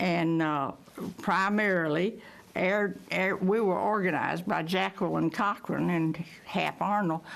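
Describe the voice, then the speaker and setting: A woman speaks with an American accent at a moderate pace. Her voice has vocal fry. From Texas. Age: 90s. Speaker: WWII veteran pilot. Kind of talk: interview testimony.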